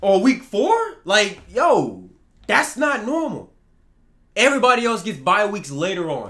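A man with a high voice and an American accent, bright and sharp in tone, at a fairly slow pace with very wide pitch swings over a quiet background. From Texas. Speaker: sports gaming YouTuber. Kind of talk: angry rant about video game player ratings. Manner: heated, exasperated and repetitive, hammering the same complaint. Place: home room.

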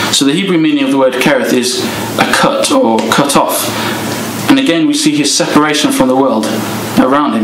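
The speech moves at a fairly quick pace. Noticeable background noise is present. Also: man. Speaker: speaker. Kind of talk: sermon.

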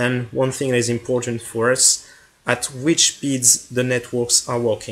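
A man with a French accent speaks at a fairly slow pace. His pitch is medium and his intonation flat and monotone. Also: very even loudness. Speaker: hobbyist maker, tech video creator. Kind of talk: project explanation video.

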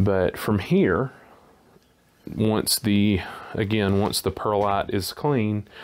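This man's voice has a fairly low pitch. His intonation is monotone and flat. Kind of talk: tutorial. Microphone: phone near.

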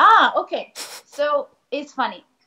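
A woman with a Spanish accent, a bright, sharp tone and a very slow pace. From Argentina, Buenos Aires. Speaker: ballet dancer. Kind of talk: casual chat. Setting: video call.

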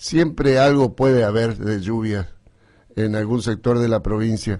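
Fairly slow speech with ordinary pitch variation over a quiet background. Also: man. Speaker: radio host, agricultural journalist. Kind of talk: radio weather commentary. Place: studio.

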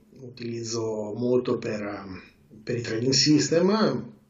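The speech moves at a very slow pace, and audible room echo can be heard. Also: man. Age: 40s. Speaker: trader; interviewee. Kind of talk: interview. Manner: halting. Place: home room. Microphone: video call.

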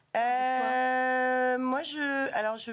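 A woman is speaking. Her pitch variation is ordinary. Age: 40s. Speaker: tech association director; guest. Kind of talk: interview. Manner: hesitant, many fillers. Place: studio. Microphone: studio mic.

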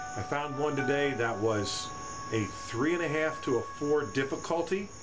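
Ordinary pitch variation over clear background music. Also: man. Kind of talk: casual vlog chat. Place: garage. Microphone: webcam.

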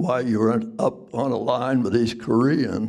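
A man's dark, mellow tone sits over a quiet background. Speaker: war veteran. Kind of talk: storytelling to a live audience. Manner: casual, halting. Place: hall. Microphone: handheld.

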